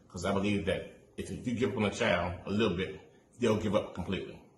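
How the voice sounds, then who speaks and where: A man's fairly low voice with fairly even intonation, in a room with audible echo. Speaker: student teacher. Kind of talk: class assignment presentation. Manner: sometimes rushed.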